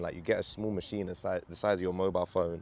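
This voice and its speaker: Very fast speech with a London accent. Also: man. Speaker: vlogger and startup founder. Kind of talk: casual vlog monologue. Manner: animated.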